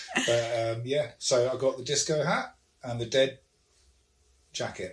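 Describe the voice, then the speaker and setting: An ordinary speaking voice from a man of medium pitch, at a fairly slow pace with ordinary pitch variation. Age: 60s. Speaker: podcast guest. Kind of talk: casual chat.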